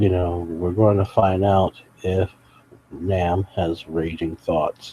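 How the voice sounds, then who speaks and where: A man speaks quietly at a very slow pace in a very deep, low pitch. His tone is dark, mellow and somewhat breathy, with monotone, flat intonation. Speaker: live streamer commenting on videos. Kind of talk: live stream commentary. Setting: at home late at night beside sleeping sick mother. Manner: quiet, talking low.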